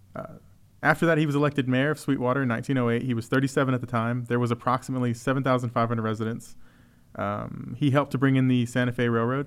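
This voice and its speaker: A man rattles along at a very fast pace with a Texan accent, medium pitch and monotone, flat intonation, on a very clean recording with a silent background. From Texas. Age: 30s. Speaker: museum podcast host. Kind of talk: casual chat.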